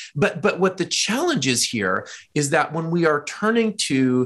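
Lively intonation from a man. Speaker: education technology executive and author. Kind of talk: interview. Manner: energetic.

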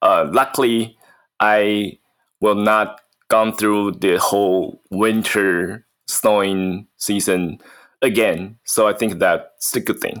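With a Mandarin accent, a man speaks at a very slow pace in a fairly low pitch and fairly even intonation. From Taiwan. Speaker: podcast co-host, MBA student. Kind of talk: casual chat. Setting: video call. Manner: halting.

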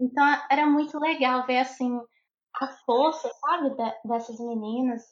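Speaking at a fairly slow pace with long, frequent pauses, a woman uses a high pitch and fairly even intonation. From Brazil, Montes Claros, Minas Gerais. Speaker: civil engineer. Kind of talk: interview conversation.

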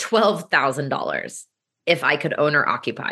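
Against a quiet background, a woman with an American accent speaks at a moderate pace, her bright, sharp tone carried by lively intonation. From US Midwest, Kansas City. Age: 30s. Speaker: real estate investor and coach. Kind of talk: podcast interview.

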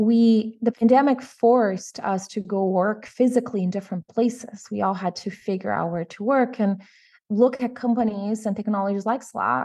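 A woman with a Portuguese accent speaks at a moderate pace in a fairly high pitch, with ordinary pitch variation. Her tone is dark and mellow, set against a quiet background. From Brazil, São Paulo. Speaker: tech company CEO. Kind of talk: interview.

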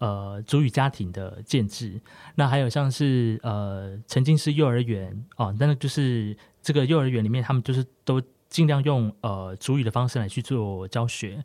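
Over a silent background in a very clean recording, a man speaks with a medium-pitched, dark, mellow voice at a moderate pace. Pitch variation is ordinary, and the sound is dry and close with no echo. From Taiwan, Hualien (Amis community). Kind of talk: casual interview.

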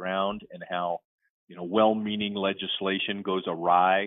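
The man's fairly low voice holds a monotone, flat intonation at a moderate pace. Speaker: novelist. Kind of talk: casual interview.

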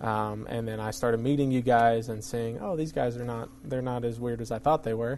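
A man in an ordinary speaking voice at medium pitch moves at a fairly quick pace with hardly any pauses and fairly even intonation. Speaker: ministry staff member, former police department worker. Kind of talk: casual interview.

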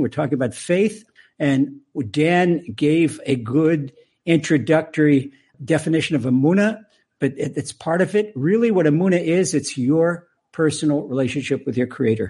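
Fairly high for a man, this voice has a dark, mellow tone, ordinary pitch variation and an American accent. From US Maryland. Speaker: rabbi and author. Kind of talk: interview.

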